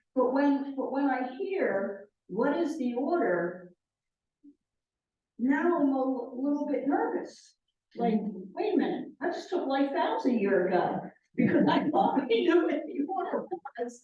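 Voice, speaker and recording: With long, frequent pauses and audible room echo, a woman speaks at a fairly slow pace in a high pitch, her pitch swinging very widely. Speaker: member of a religious order. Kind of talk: group discussion. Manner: emphatic.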